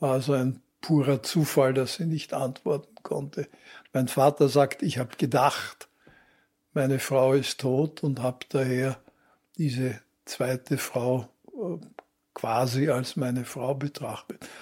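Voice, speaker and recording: A somewhat breathy man's voice at medium pitch, very slow and fairly even in intonation, with long, frequent pauses, on a very clean recording against a silent background. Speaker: journalist. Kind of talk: interview.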